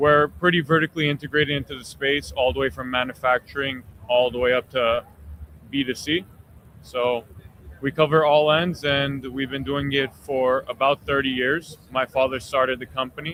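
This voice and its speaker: In a slight Armenian accent, a man speaks at a moderate pace with a fairly high pitch and fairly even intonation. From Armenian family. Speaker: cigar company executive. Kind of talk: interview.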